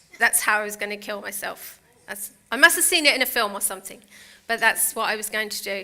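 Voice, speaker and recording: The speech comes at a very fast pace in a British accent. Its pitch varies in an ordinary way while the loudness swings widely. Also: woman, fairly high pitch for a woman. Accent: UK. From United Kingdom. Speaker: motivational speaker. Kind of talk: inspirational talk. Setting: stage with audience.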